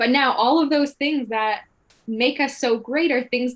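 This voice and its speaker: Speaking at a moderate pace, a woman with an unremarkable speaking voice keeps a fairly high pitch that varies in an ordinary way. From Canada, Kahnawake Mohawk territory. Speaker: actor. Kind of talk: panel discussion.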